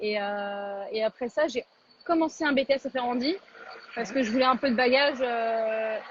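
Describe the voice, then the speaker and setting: The speech has ordinary pitch variation. Its pace is moderate. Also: woman. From France, Paris. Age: 20s. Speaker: chef. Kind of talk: interview. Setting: Instagram live video call. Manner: casual, many fillers.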